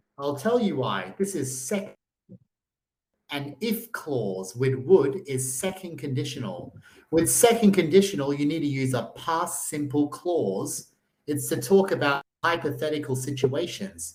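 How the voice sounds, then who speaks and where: Speaking at a fairly slow pace with an Australian accent, a man makes very wide pitch swings around a fairly high pitch. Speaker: online English tutor. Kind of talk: language lesson.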